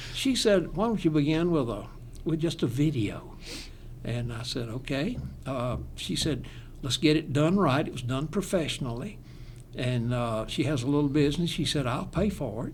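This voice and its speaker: A man's fairly high, somewhat breathy voice with a Southern accent, lively intonation and audible room echo. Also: moderate pace. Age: 80s+. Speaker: retired pastor. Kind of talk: casual chat.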